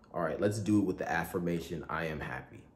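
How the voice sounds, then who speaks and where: Room echo is audible as a man speaks. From Nigeria, Igbo area near Owerri. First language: Igbo. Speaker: content creator. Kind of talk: tutorial.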